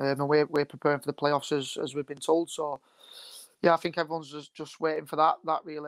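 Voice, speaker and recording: Speaking at a very fast pace with a Lancashire accent, a man uses a fairly high pitch and monotone, flat intonation, his loudness swinging widely, on a very clean recording with a silent background and a dry, close sound with no echo. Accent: Bolton, Lancashire. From northern England, Bolton. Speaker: professional footballer. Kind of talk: interview.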